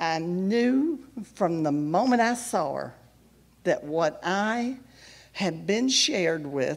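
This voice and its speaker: A woman speaks at a medium pitch, her voice swinging very widely up and down. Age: 70s. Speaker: ministry member giving testimony. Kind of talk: testimony. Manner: halting.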